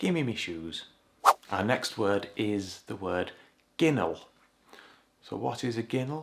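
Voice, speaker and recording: A man with a Yorkshire accent speaks with lively intonation. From Yorkshire, northern England. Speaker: English teacher. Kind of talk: language lesson to camera.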